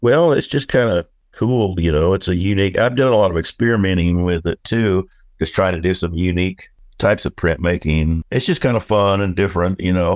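With an American accent, a man talks in a very deep, low pitch, with ordinary pitch variation and very even loudness. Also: fairly quick pace, quiet background. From Oklahoma. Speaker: artist. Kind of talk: casual interview.

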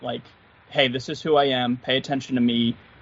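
Speaking in a Philadelphia accent is a man. His pitch sits in the medium range. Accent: Philadelphia-area American. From Philadelphia area, US. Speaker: guitarist YouTuber. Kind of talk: casual podcast interview. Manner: slow, stumbles on words; enthusiastic, relaxed.

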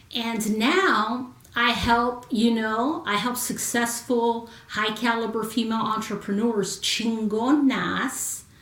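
Noticeable background noise sits behind a woman speaking at a very slow pace. Her fairly high voice keeps a fairly even intonation. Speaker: Marine Corps veteran and confidence coach. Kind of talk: casual chat. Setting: live video stream.

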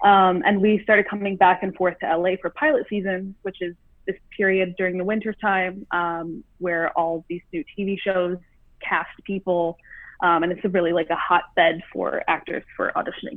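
A woman with an American accent and a plain, everyday voice, medium in pitch, at a moderate pace with fairly even intonation. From Michigan, suburb of Detroit. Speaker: actor. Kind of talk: interview.

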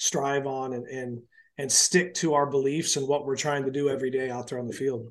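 A man with an American accent talks at a moderate pace and a medium pitch. His intonation is flat and monotone against a quiet background. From US Northwest, Portland, Oregon. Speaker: college baseball head coach. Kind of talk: podcast interview.

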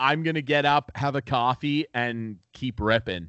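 The tone is animated. A man speaks at a moderate pace. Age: 30s. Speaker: podcast co-host and co-producer. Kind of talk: casual chat. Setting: home apartment recording.

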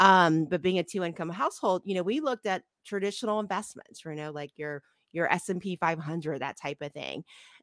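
A woman with a General American accent speaks at a fairly quick pace, her pitch fairly low and her intonation varying in an ordinary way; she has a plain, everyday voice. The recording is very clean and dry, close with no echo, over a silent background. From Ohio, US Midwest. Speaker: accountant and business owner. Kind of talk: interview.

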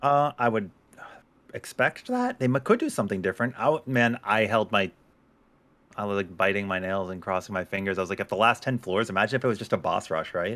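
Over a silent background in a very clean recording, a man with a slight Boston accent talks at a very fast pace, his fairly low pitch showing ordinary pitch variation. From Boston area, US. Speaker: gaming streamer. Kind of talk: casual chat. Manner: joking, goofy.

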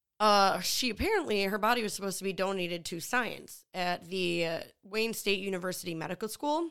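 A woman with an American accent and a normal speaking voice talks with hardly any pauses at a medium pitch and ordinary pitch variation, in a very clean recording with a silent background. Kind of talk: casual comedy podcast chat. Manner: laughing, playful.

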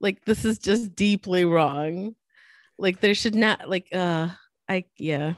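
An American woman with an American accent talks at a very slow pace and medium pitch, with ordinary pitch variation. The background is quiet and the sound is dry and close with no echo. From former Soviet Union, moved to US at age 9. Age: 40s. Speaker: motorsport podcast co-host. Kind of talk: casual chat.

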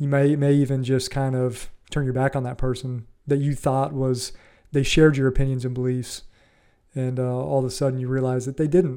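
A man with a Midwestern American accent talks at a fairly quick pace in a medium pitch and a flat monotone. The recording is very clean, with a silent background. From US Midwest, Ohio. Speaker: podcast host. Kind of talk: solo commentary on an article. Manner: casual, with hesitations and repetitions.

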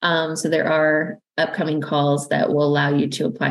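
With a Canadian accent, a woman speaks at a moderate pace in a very deep, low voice touched by vocal fry. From Canada. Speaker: university research funding manager. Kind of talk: interview.

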